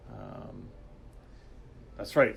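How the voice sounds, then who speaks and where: There is audible room echo around a man. He speaks at a fairly slow pace. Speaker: game developer livestream host. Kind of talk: livestream chat. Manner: halting, many fillers.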